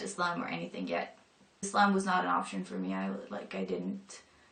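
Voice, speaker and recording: Noticeable background noise sits under audible room echo. Words come at a moderate pace. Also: woman. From northern Europe. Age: 20s. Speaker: convert to Islam. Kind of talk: personal testimony. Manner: casual, hesitant with fillers.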